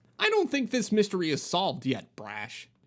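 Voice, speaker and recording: A man puts on a character voice, pitched high, talking at a moderate pace. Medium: read story. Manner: upbeat, jokey.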